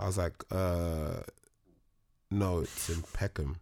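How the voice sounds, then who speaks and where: In a very clean recording with a silent background, a man with a London accent speaks at a very deep, low pitch with fairly even intonation. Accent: London Multicultural English. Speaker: actor. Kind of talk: casual chat.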